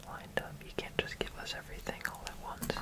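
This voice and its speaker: The speaker whispers in a calm tone. Noticeable background noise is present. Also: man. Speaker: ASMR content creator. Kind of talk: ASMR building ramble. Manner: whispered, soft-spoken, calm.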